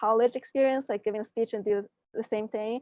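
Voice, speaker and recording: At a fairly quick pace, a woman with a fairly high pitch speaks in a monotone, flat intonation, in a dry, close sound with no echo on a very clean recording with a silent background. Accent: non-native. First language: not English. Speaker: science fair student winner. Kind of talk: panel interview answers. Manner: halting, many fillers.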